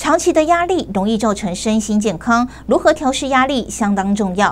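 A woman with a fairly high pitch and lively intonation, at a moderate pace, over light background noise. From Taiwan. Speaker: news anchor. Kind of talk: news reading. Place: studio. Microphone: lapel.

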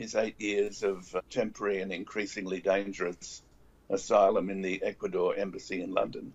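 A man speaks at a moderate pace, his pitch fairly low. His intonation stays monotone and flat. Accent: Australian. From Australia. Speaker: former diplomat. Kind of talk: panel discussion. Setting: video call. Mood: earnest, argumentative. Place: home room. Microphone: video call.

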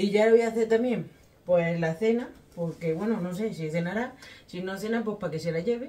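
Her pitch varying in an ordinary way, a woman speaks fairly quickly. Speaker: home cook vlogger. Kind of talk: casual vlog chat. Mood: relaxed, chatty. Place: kitchen. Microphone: camera far.

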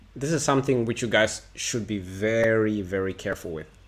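With a bright, sharp tone and fairly low pitch, a man talks at a moderate pace using ordinary pitch variation.

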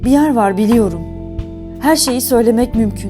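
A woman talks very slowly. Behind her, music is playing. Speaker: theatre actor. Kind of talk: poetry reading.

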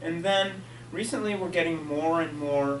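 Noticeable background noise behind a man speaking. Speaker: geology professor. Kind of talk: lecture. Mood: enthusiastic, light humor. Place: hall. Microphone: camera far.

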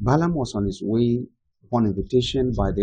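Against a quiet background, a man speaks in a dark, mellow tone that is somewhat breathy, with ordinary pitch variation. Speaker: preacher teaching. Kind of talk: sermon-style teaching. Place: home room.

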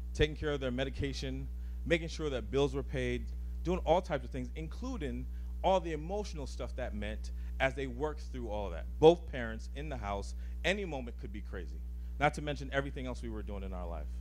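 With light background noise behind him, a man talks at a fairly quick pace in a very deep, low, somewhat breathy voice with monotone, flat intonation. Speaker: guest. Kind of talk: personal storytelling talk. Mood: earnest, personal, some humor. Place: hall. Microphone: handheld.

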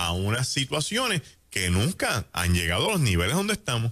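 Against a quiet background, the speaker's animated tone moves at a moderate pace with very wide pitch swings. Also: man. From Puerto Rico. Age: 60s. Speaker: pastor. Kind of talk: radio talk show commentary. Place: studio. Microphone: studio mic.

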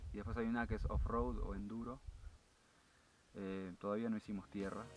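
This man speaks at a fairly quick pace in an Argentine accent, his fairly low pitch showing little movement.

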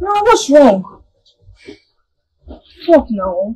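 A woman's put-on character voice at a very slow pace, fairly high in pitch, with big pitch swings, a slightly mellow tone and a husky, rough edge

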